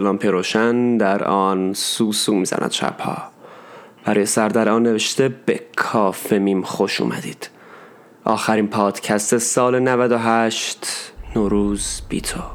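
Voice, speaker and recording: Over noticeable background noise, a man with a fairly low pitch speaks very slowly and with fairly even intonation. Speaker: podcast author and narrator. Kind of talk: poet spoken word. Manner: slow, wistful, melancholic; emotional, intimate, lyrical.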